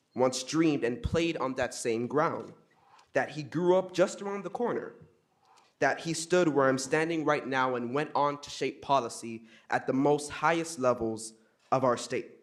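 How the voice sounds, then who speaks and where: A man with a plain, everyday voice speaks at a fairly high pitch with ordinary pitch variation. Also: moderate pace. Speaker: student speaking at public comment. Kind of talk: public comment speech. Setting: city council meeting. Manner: formal.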